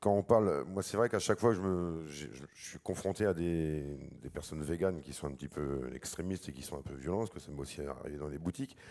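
A man's very deep, low voice with a dark, mellow tone, lively intonation and big swings in loudness, at a fairly quick pace with hardly any pauses, over a quiet background. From rural France, Mayenne; France. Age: 40s. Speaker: butcher; butcher on a panel. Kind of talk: panel discussion. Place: hall. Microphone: handheld.

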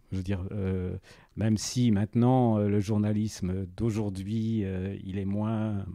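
A man's dark, mellow tone at a fairly low pitch, with fairly even intonation and a very slow pace against a quiet background. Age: 60s. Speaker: retired journalist and bird photographer. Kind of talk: interview. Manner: halting.

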